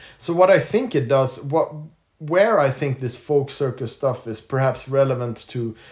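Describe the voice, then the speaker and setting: Somewhat breathy and fairly high-pitched, a man talks fairly slowly with lively intonation. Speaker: circus performer. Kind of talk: casual chat. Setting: recorded on location in Denmark.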